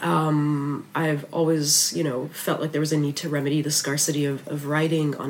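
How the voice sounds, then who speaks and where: The speech runs at a fairly slow pace with monotone, flat intonation. Noticeable background noise sits behind it. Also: woman. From Lebanon. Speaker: magazine editor. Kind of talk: interview.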